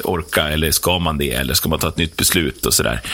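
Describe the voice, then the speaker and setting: Noticeable background noise sits behind a man talking fairly quickly. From Sweden, Roslagen (Herräng). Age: 40s. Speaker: prison worker and music tour promoter. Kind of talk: radio interview. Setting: radio studio.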